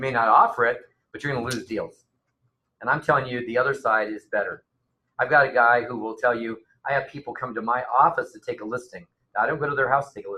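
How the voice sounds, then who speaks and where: This man speaks very fast at a medium pitch, his tone bright and sharp. His intonation is monotone and flat, with big swings in loudness. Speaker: real estate coach and trainer. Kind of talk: seminar presentation.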